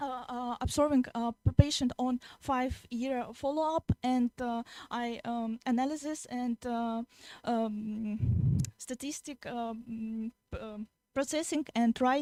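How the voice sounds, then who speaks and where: A voice with a dark, mellow tone and a Russian accent speaks at a very slow pace with fairly even intonation and big swings in loudness. The sound is dry and close, with no echo. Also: woman, high pitch for a woman. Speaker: young researcher presenting. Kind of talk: Q&A answers; conference presentation. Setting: conference hall. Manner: halting, many fillers.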